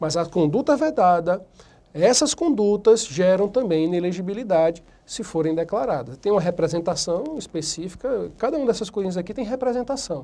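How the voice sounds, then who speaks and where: A man's voice, high in pitch, with a dark, mellow tone. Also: lively intonation. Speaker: law lecturer. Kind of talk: lecture. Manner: fast at times; casual, conversational.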